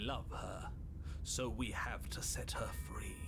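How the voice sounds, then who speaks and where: This is a put-on character voice at a fairly slow pace. Loud background noise runs underneath it. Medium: game stream. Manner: repetitive, urgent.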